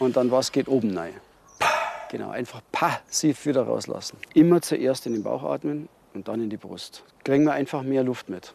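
The speaker goes at a moderate pace with ordinary pitch variation, and noticeable background noise can be heard. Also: man, medium pitch for a man. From Bavaria, Neubiberg near Munich. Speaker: freediving instructor. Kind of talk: tutorial.

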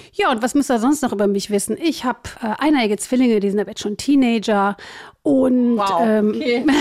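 A plain, everyday voice from a woman with a fairly high pitch, at a fairly quick pace, with ordinary pitch variation. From Germany, Cologne. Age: 40s. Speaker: job coach. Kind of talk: interview.

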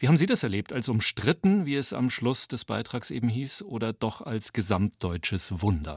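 A man's medium-pitched voice with very wide pitch swings and vocal fry, moderate pace, hardly any pauses, dry and close with no echo. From western Germany. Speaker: radio host. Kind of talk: radio interview.

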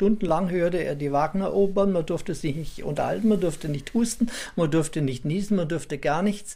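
A man speaks fairly quickly at a high pitch, his tone dark and mellow. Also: ordinary pitch variation. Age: 80s+. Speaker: radio collector and museum owner. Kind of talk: interview recollection.

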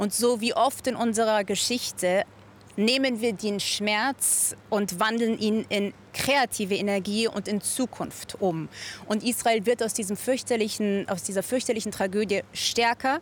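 This woman has an unremarkable speaking voice at a medium pitch. She talks fairly slowly, and her pitch varies in an ordinary way. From Germany, Munich. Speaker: volunteer for hostage families. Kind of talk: studio interview.

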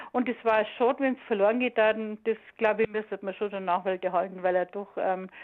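In a normal speaking voice, the speaker moves at a fairly quick pace with fairly even intonation. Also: woman. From Munich (Aubing), Bavaria. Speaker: former school radio choir singer. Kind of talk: interview reminiscence. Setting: phone call.

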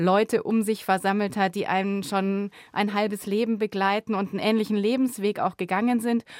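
A woman speaks in a medium pitch. The sound is dry and close with no echo, and the recording is very clean against a silent background. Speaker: radio journalist. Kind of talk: casual chat. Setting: studio.

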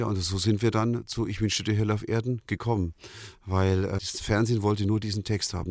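The speech moves at a very fast pace with fairly even intonation, on a very clean recording with a silent background. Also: man. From Germany, Nuremberg (Franconia). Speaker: pop singer. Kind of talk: interview storytelling.

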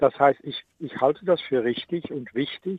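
A man with a Dutch accent, fairly high-pitched, with ordinary pitch variation and a fairly slow pace. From Netherlands. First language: Dutch (speaking German). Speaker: ethics professor. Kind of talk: radio interview. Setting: remote connection. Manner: halting.

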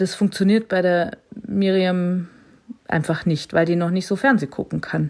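Speech unfolds at a fairly slow pace, its pitch varying in an ordinary way. It is an ordinary speaking voice. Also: woman, medium pitch for a woman. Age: 40s. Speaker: blind mother and teacher on parental leave. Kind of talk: interview.

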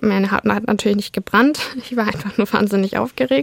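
A woman with an ordinary speaking voice talks at a moderate pace and medium pitch, using ordinary pitch variation, in a dry, close sound with no echo. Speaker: law student. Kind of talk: personal testimony.

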